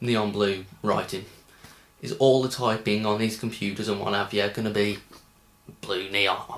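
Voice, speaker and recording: In a Birmingham accent, a man speaks with a fairly low pitch and flat, monotone intonation, leaving long, frequent pauses. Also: moderate pace. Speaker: film reviewer. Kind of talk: casual film review. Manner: hesitant, many ums.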